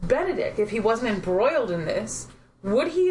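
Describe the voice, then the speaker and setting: Lively intonation carries the speech along at a moderate pace. Noticeable background noise runs underneath. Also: woman. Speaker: podcast co-host. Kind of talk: casual chat.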